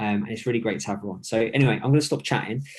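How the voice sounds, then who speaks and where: In a British accent, a man talks at medium pitch with ordinary pitch variation. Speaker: fitness coach. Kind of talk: live-streamed interview. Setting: home, live video stream. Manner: quiet.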